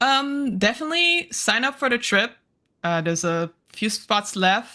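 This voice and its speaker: Her tone is bright and sharp, with very wide pitch swings. The woman speaks at a fairly high pitch. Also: fairly slow pace, very clean recording, silent background. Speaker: travel blogger. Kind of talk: casual chat. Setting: live stream.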